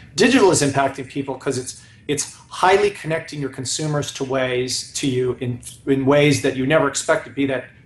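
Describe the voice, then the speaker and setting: A man's very fast speech with fairly even intonation and audible room echo. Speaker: guest. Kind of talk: interview answer. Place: home room. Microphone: video call.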